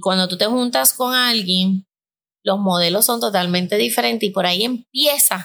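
A woman speaks at a moderate pace with lively intonation and a medium pitch. Her tone is bright and sharp. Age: 50s. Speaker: podcast host and life coach. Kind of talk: casual chat.

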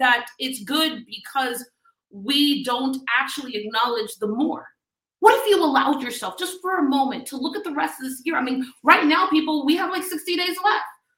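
Using a raised, projected voice, a woman with an American accent speaks at a moderate pace in a high pitch, her bright, sharp tone animated and her intonation lively. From US South, Miami, Florida. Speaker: business coach. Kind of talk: motivational talk. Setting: live stream.

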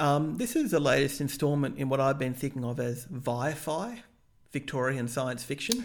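A man speaks at a moderate pace, his fairly high voice showing ordinary pitch variation. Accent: Australian. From Australia. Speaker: podcast co-host reviewing TV pilots. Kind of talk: casual chat.

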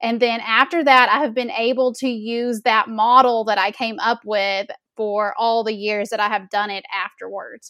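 Captured in a very clean recording with a silent background, a woman with a Southern US accent has a bright, sharp tone, a fairly high pitch, and fairly even intonation. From Arkansas, US South. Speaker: melanoma awareness founder, boutique owner. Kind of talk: casual interview chat. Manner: slow talker.

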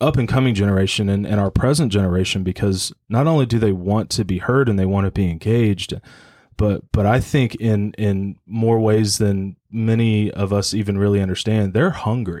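A man has a plain, everyday voice. The recording is very clean with a silent background. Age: 30s. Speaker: young adult ministry leader. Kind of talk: casual panel discussion.

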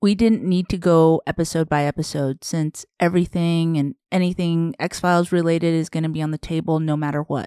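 A fairly low-pitched woman with an American accent at a fairly quick pace, in a very clean, dry, close recording with a silent background and no echo. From Southern Arizona, US. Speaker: podcast co-host. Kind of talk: casual chat.

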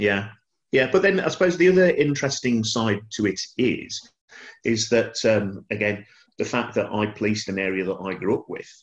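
Here a man with a Birmingham accent speaks at a medium pitch and a moderate pace. His intonation is lively, and the background is quiet. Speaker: retired police officer. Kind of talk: panel discussion.

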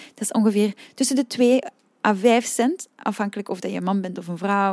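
A woman's voice comes through with ordinary pitch variation. The recording is very clean with a silent background, and the sound is dry and close with no echo. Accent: Flemish. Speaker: singing teacher and podcast host. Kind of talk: solo podcast talk. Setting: room with open windows. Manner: calm, relaxed.

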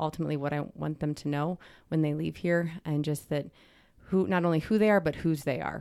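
On a very clean recording with a silent background, a woman speaks in a very deep, low pitch with fairly even intonation. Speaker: high school dean of women. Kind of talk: casual chat. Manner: fast talker.

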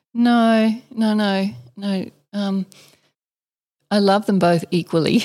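A woman's dark, mellow voice in an Australian accent, very slow with long, frequent pauses and fairly even intonation, on a very clean recording with a silent background. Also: medium pitch for a woman. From Western Australia and Northern Territory. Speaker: distillery co-founder and author. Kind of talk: interview. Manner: measured.

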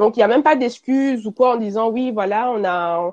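A normal speaking voice comes at a moderate pace with ordinary pitch variation, in a dry, close sound with no echo and a quiet background. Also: woman. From Belgium. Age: 20s. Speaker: fashion brand founder. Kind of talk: interview.

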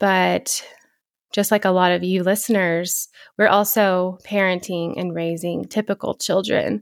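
Over a silent background in a very clean recording, a woman speaks at a fairly slow pace and medium pitch with fairly even intonation. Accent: West Texas. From Texas Panhandle, small town. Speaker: podcast co-host, physical therapist assistant. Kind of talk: casual chat.

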